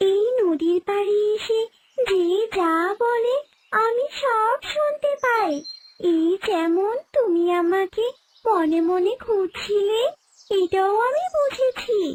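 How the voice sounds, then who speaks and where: A cartoonish character voice with an extremely high pitch speaks in a gentle tone at a very slow pace. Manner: gentle, kindly.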